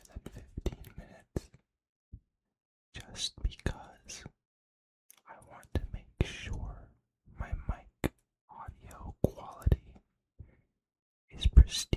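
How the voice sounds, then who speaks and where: A man whispering at a very slow pace, the sound dry and close with no echo. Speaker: ASMR creator. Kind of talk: ASMR whisper ramble, casual life update. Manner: whispered, soft, slow.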